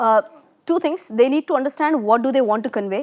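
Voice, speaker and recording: A woman's high-pitched, very fast voice with lively intonation, on a very clean recording with a silent background and a dry, close sound with no echo. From India, Pune (Maharashtra). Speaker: finance educator. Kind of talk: interview conversation.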